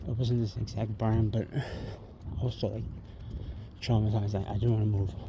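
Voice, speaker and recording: A man with an American accent speaks in a fairly low, dark, mellow voice that is somewhat breathy. His intonation is monotone and flat. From New York City, Queens. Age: 50s. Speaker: vlogger. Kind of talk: casual monologue vlog. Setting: outdoors, walking by a busy street at night. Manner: rambling, filler-heavy.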